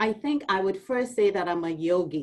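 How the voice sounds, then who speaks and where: A woman with a Trinidadian accent, medium pitch, ordinary pitch variation and a moderate pace. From Trinidad and Tobago. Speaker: university administrator. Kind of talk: orientation talk.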